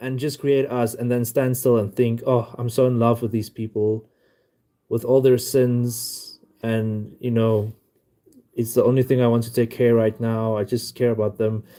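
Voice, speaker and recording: At a fairly slow pace, a man with a non-native accent speaks at medium pitch with a dark, mellow tone. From South Africa. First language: not English. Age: 20s. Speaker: livestreamer. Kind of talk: live stream chat. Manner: halting. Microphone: new mic.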